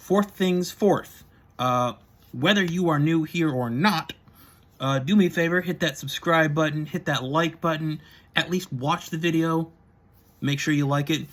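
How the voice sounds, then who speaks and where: A man with a fairly high pitch and ordinary pitch variation speaks at a fairly slow pace with long, frequent pauses, in a very clean recording with a silent background. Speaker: vlogger doing product reviews. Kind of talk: casual vlog monologue.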